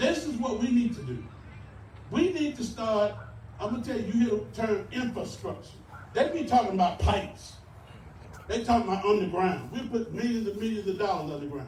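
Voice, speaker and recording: A man with a high-pitched voice speaks with lively intonation. He leaves long, frequent pauses, and the room echo is audible. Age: 60s. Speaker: mayoral candidate. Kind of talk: campaign speech. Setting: rally with audience. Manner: animated.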